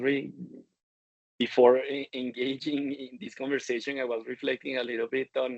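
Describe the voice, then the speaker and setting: A man is speaking. He has a Spanish accent. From Colombia. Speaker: supply chain executive. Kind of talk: interview. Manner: halting, many repetitions.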